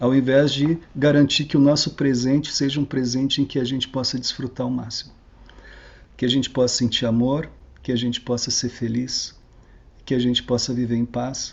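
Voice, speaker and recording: This man has a medium pitch and a somewhat breathy voice. His intonation is monotone and flat. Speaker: researcher giving a talk. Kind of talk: online lecture. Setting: online video talk.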